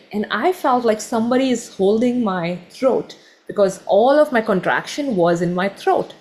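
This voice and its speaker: A woman talks at a moderate pace in a fairly high, somewhat breathy voice. Her intonation is lively. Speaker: meditation teacher. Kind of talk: online workshop talk.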